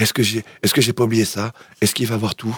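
A man at a medium pitch with vocal fry, talking at a very fast pace in a dry, close sound with no echo. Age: 40s. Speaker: garbage collector. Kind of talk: casual interview. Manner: halting.

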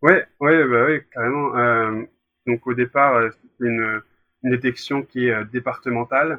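Here a man with an unremarkable speaking voice speaks at a medium pitch. His pace is fairly slow and his intonation fairly even. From Brittany, France. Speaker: former youth goalkeeper. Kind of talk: interview. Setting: recorded separately.

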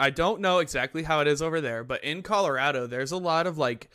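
In a very clean recording with a silent background, a man speaks fairly quickly with a fairly high pitch, a bright, sharp tone and ordinary pitch variation. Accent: American. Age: 20s. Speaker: podcast host, gamer streamer. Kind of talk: casual chat.

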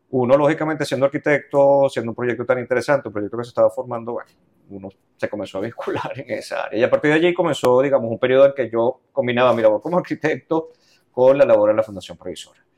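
A man talks at a very fast pace in a medium pitch with ordinary pitch variation. His loudness swings widely, and the sound is dry and close with no echo. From Venezuela, Los Teques. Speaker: cultural manager. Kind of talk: interview.

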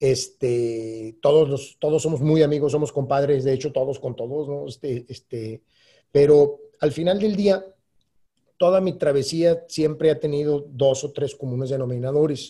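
A man talks at a fairly slow pace in a fairly high pitch. His voice is somewhat breathy, with a dark, mellow tone. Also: ordinary pitch variation. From Mexico, Durango. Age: 40s. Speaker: entrepreneur. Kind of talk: casual interview.

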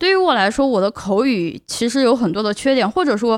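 A woman speaks with lively intonation. The sound is dry and close with no echo, over a quiet background. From China. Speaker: podcast host, PhD student. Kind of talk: solo podcast monologue. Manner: hesitant filler-heavy.

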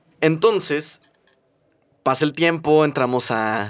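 Lively intonation carries words delivered at a very slow pace. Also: man. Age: 20s. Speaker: podcast co-host, architect. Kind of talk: casual chat. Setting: studio.

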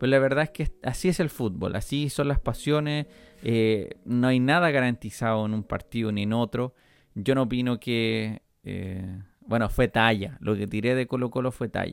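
With a Chilean accent, a man talks at a moderate pace in a medium pitch, with ordinary pitch variation. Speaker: podcast host. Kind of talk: casual monologue. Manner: hesitant, many fillers.

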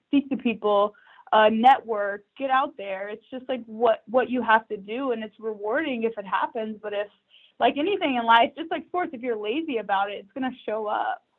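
An ordinary speaking voice with ordinary pitch variation at a moderate pace. Its loudness swings widely. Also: woman, fairly high pitch for a woman. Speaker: former college basketball player, executive recruiter. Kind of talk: interview conversation.

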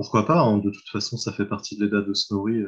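A man's fairly low voice at a moderate pace, with fairly even intonation and a quiet background. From France, Mayenne. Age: 30s. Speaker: translator. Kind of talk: casual interview. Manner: halting.

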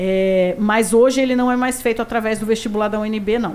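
A woman talks at a moderate pace. Her voice has a fairly high pitch. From Brasília, Brazil. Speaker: retired police colonel. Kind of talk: interview. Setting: studio.

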